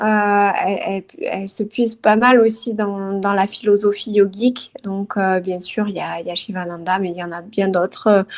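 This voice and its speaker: With a southern French accent, a woman speaks at a moderate pace and medium pitch, her intonation fairly even and her pauses hardly there. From southern France, Toulouse. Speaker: career transition coach and yoga teacher. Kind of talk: interview. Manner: hesitant, many fillers.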